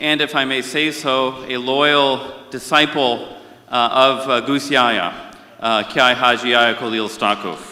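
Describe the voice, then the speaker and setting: A man with an American accent speaks at a fairly slow pace in a medium pitch. His intonation is fairly even, with noticeable background noise. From India. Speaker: conference session moderator. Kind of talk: conference speech.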